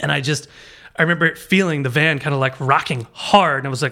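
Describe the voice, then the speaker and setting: A bright, sharp tone with an American accent, ordinary pitch variation and a fairly quick pace on a very clean recording with a silent background. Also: man. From Baltimore, US. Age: 40s. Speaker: musician. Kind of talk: casual chat.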